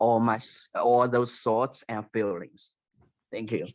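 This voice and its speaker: Speaking at a very slow pace, a man keeps his medium-pitched voice in a fairly even intonation. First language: not English. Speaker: book club participant. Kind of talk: casual chat. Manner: halting.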